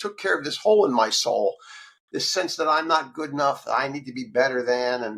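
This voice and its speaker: In a normal speaking voice with an American accent, a man speaks at a fairly high pitch and a fairly quick pace, his intonation lively. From Texas. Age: 60s. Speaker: author in addiction recovery. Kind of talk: interview.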